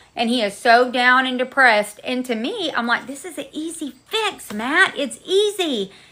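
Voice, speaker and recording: In a raised, projected voice with a bright, sharp tone, the speaker sounds animated, using lively intonation at a moderate pace. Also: woman. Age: 40s. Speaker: livestream host. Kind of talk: casual chat. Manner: loud.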